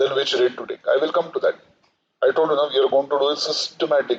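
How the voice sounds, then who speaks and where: A man speaks with an Indian accent. His pace is very fast. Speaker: finance lecturer. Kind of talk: lecture. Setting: live online session.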